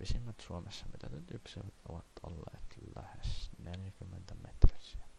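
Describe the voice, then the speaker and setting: A man's very deep, low voice at a fairly slow pace with hardly any pauses, ordinary pitch variation, and noticeable background noise. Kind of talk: encyclopedia reading. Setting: cheap home microphone. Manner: soft-spoken.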